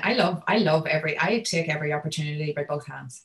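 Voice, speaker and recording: A woman speaks in a somewhat breathy voice. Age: 30s. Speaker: entrepreneur and speaker. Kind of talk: casual interview. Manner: fast talker.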